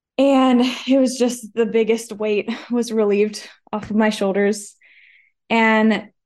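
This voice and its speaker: Over a quiet background, a woman with a plain, everyday voice speaks at a fairly high pitch with fairly even intonation. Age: 20s. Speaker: women's recovery ministry co-founder. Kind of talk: testimony. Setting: studio.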